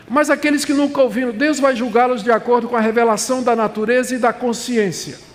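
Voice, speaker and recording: Amid audible room echo and noticeable background noise, a man speaks at an extremely high pitch. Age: 70s. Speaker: pastor. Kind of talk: sermon. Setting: conference stage with audience.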